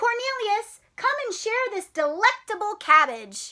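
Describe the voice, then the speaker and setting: A woman's put-on character voice, squeaky and extremely high, cheerful in tone with lively intonation and a fairly slow pace. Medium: read story. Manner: cheerful, kind.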